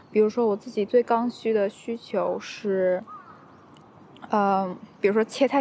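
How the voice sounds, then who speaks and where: Her pitch sits fairly high, with ordinary variation and a fairly slow pace. Noticeable background noise runs under the woman's voice. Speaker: podcast host. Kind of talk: solo monologue. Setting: outdoors in a park. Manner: energetic, upbeat.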